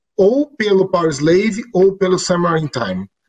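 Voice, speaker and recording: A man talks in a high pitch. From Brazil. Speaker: show host and musician. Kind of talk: casual chat. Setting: live stream video call.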